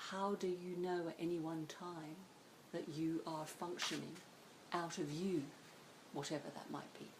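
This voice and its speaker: A woman speaks at a moderate pace in a fairly low pitch, with monotone, flat intonation and long, frequent pauses. Audible room echo fills the recording. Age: 60s. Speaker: psychotherapist. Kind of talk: interview.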